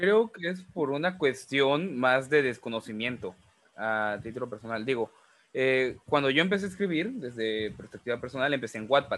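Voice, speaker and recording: This man has a plain, everyday voice, speaking at medium pitch and a moderate pace with lively intonation. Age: 20s. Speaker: podcast host and writer. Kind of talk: casual chat.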